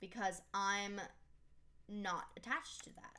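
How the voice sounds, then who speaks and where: At a fairly slow pace, a woman speaks at a medium pitch with audible room echo. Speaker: 3D modeling tutorial creator. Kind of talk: tutorial.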